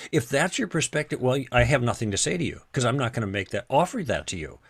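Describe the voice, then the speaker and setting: A man's somewhat breathy voice swings very widely in pitch, captured in a very clean recording with a silent background. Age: 70s. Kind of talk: interview on faith and theology. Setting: podcast recording. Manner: halting with many repetitions.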